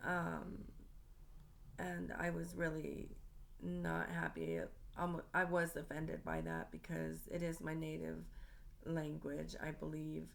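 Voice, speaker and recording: Delivered at a very slow pace with long, frequent pauses, the speech carries audible room echo. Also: woman. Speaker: student. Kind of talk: class presentation monologue. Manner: halting, many filler ums.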